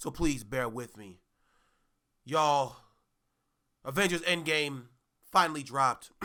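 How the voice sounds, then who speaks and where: Big swings in loudness mark this man's fairly high, bright, sharp voice. He moves at a fairly slow pace with long, frequent pauses. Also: ordinary pitch variation. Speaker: podcast host. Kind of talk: casual chat.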